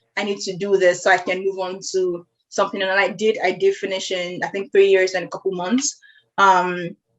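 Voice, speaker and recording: A woman's voice at a medium pitch with a Nigerian accent. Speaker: podcast host. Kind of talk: casual conversation. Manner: fast.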